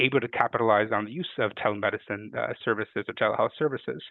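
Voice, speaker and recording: The speaker is male. He rushes along at a very fast rate. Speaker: health policy analyst. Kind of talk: webinar presentation. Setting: webinar.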